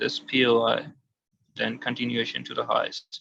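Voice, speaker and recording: A man with a non-native accent, medium pitch, a bright, sharp tone and a fairly slow pace. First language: not English. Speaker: forex trader. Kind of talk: tutorial. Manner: halting.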